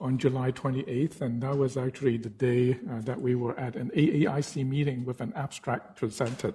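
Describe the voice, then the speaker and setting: This man has a medium pitch and a dark, mellow tone. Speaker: physician researcher. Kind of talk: conference talk. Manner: hesitant, many fillers.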